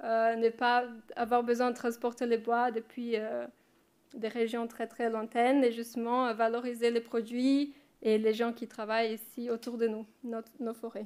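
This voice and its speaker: A woman's fairly high, monotone voice with flat intonation, at a fairly slow pace, in a very clean recording with a silent background. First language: not French (speaking French). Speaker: research assistant. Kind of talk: conference presentation. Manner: halting, many hesitations.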